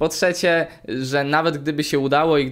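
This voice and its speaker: Behind this man's voice, the background is quiet. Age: 20s. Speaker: YouTuber. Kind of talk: casual chat. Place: home room.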